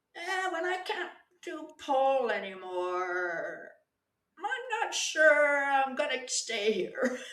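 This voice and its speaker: A woman's high, bright, sharp voice at a very slow pace, with very wide pitch swings and audible room echo. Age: 60s. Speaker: pole dancer. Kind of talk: casual chat.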